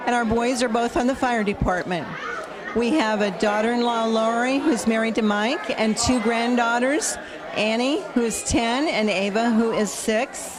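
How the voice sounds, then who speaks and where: A woman with an American accent at very even loudness, audible room echo, crowd noise in the background. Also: fairly high pitch for a woman, ordinary pitch variation, moderate pace. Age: 60s. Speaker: community member. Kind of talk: personal testimonial.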